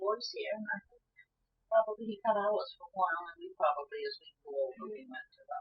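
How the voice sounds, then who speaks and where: A woman with a New England accent speaks at a fairly quick pace, her pitch swinging very widely and her loudness shifting a lot. Music plays in the background. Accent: rural New England. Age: 80s+. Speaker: retired teacher and state legislator. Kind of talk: oral history interview. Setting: living room at home.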